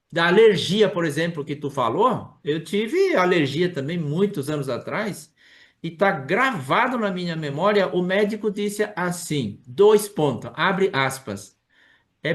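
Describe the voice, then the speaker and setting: A man talks at a very slow pace. His pitch is high. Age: 60s. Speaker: study group moderator. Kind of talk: video call study meeting. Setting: video call. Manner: animated.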